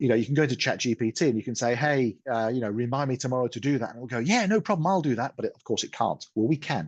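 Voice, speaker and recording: Over a quiet background, a man with an English accent talks at a very fast pace in a medium-pitched voice with ordinary pitch variation. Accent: English accent (Pommy). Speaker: software product presenter. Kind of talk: webinar product demo. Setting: online webinar. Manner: casual, hesitant with fillers.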